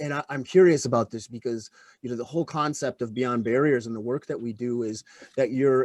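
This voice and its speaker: A normal speaking voice from a man at medium pitch, fairly quick, with fairly even intonation and a dry, close sound with no echo. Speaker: podcast host, former extremist. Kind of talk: interview conversation.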